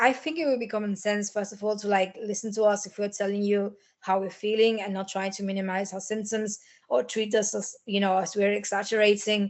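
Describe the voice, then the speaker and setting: A woman speaks at a medium pitch and a fairly quick pace. Her intonation is monotone and flat. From Argentina. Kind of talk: podcast interview answer.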